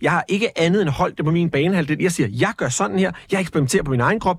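Caught in a very clean recording with a silent background, a high-pitched man talks at a very fast pace with lively intonation. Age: 40s. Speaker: radio host and entertainer. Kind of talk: casual interview. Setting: studio.

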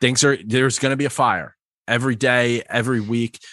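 With an American accent, a man speaks at a moderate pace and medium pitch in a bright, sharp tone, the sound dry and close with no echo against a quiet background. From New York. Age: 30s. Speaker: customer success manager and stand-up comic. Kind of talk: interview.

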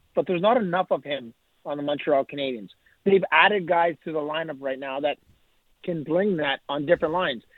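At a fairly quick pace, a man talks in a plain, everyday voice, fairly high in pitch with ordinary pitch variation. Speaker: hockey analyst. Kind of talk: sports interview.

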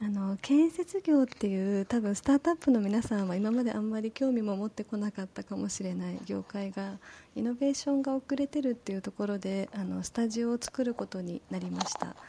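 A soft-spoken, somewhat breathy woman talks in a calm tone at a fairly quick pace with hardly any pauses, her fairly high pitch varying an ordinary amount, the sound dry and close with no echo. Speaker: community manager. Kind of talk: casual chat. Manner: calm, soft tone.

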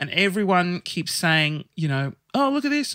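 A man with an Australian accent projects a raised voice with a bright, sharp tone on a very clean, dry, close recording with no echo and a silent background. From Sydney, Australia. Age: 30s. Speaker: guest sharing coming out story. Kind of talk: casual chat. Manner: animated.

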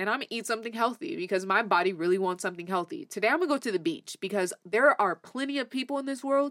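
A woman speaks at a very fast pace with lively intonation. Her pitch is fairly high. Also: dry, close sound with no echo. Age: 20s. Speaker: podcast co-host. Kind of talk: casual chat.

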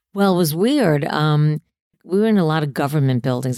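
The voice has a dark, mellow tone and lively intonation, moving at a very fast pace. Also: woman. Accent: New York. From New York City, Queens. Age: 60s. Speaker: comedian. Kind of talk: casual chat. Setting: home.

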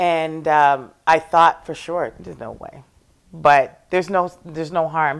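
An ordinary speaking voice from a woman, fairly low in pitch, at a fairly slow pace. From Toronto, Canada. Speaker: singer-songwriter and worship leader. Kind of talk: casual interview.

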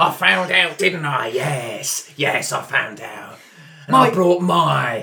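In a put-on character voice, a man talks at a fairly slow pace, raspy and fairly high-pitched, with very wide pitch swings. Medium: actual play. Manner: angry, belligerent, swearing.

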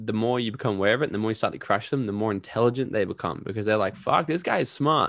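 A medium-pitched male voice with an Australian accent and ordinary pitch variation, on a very clean recording with a silent background. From Australia, Gold Coast. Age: 20s. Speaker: entrepreneur and podcaster. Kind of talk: interview.

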